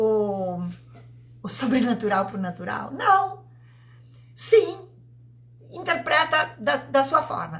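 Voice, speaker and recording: Very wide pitch swings mark this woman's speech. Her tone is bright and sharp, and her pace is very slow. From Italy. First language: Italian (speaking Portuguese). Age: 50s. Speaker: vibrational therapist. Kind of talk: live stream talk. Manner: halting.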